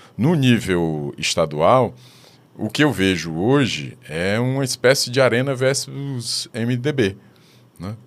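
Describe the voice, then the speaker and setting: A man with a medium-pitched voice talks at a very slow pace, his intonation lively, in a very clean recording with a silent background. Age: 50s. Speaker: social scientist and professor. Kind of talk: interview. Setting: studio. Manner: halting.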